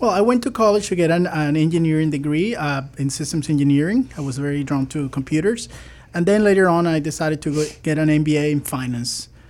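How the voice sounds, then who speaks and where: A man speaks with a Spanish accent at a very fast pace. His pitch is fairly high, with ordinary pitch variation. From Venezuela. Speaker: fintech CEO. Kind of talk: radio interview. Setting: radio studio.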